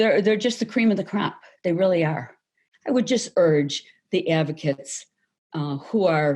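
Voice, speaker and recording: A woman with a medium pitch and lively intonation speaks at a moderate pace, with long, frequent pauses. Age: 60s. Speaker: labor arbitrator. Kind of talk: award acceptance speech. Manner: halting, with fillers and repeated words.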